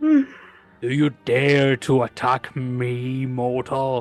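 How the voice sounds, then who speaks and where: A put-on character voice speaks at a very slow pace in a low-to-middle pitch. Music plays in the background. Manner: menacing, offended.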